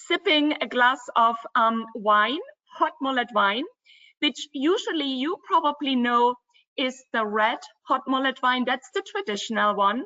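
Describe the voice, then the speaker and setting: With a German accent, a woman speaks at a fairly slow pace in a high pitch, her intonation lively. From Germany, Dresden (former East Germany). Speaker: travel company co-founder. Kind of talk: webinar presentation.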